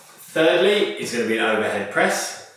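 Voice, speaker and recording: A man's voice rings with strong room echo against a quiet background. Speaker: fitness instructor. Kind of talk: tutorial. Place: home room. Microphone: camera far.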